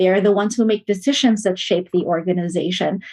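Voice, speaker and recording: This woman speaks with a Filipino accent. Her intonation stays fairly even. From Philippines. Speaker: management consultant, company CEO. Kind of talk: interview.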